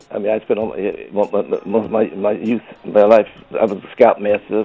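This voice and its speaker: A man's fairly quick speech with music in the background. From US Northeast, Brooklyn New York. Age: 70s. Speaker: veteran soul singer. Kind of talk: interview. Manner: halting, many repetitions.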